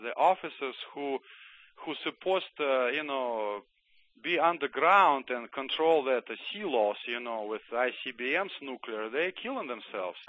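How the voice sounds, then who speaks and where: Speaking at a fairly slow pace, a man with a Russian accent keeps to a medium pitch. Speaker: former Soviet army doctor and author. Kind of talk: radio interview.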